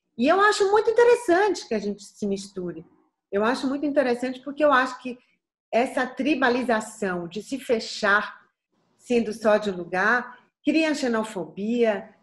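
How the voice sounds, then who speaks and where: A woman with a slight Bahian accent talks at a moderate pace, her high pitch swinging very widely. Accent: light Bahian. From Bahia, Brazil. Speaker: singer. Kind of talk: interview answer.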